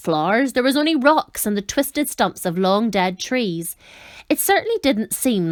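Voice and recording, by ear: A text is read aloud in a natural voice. Lively intonation runs through it.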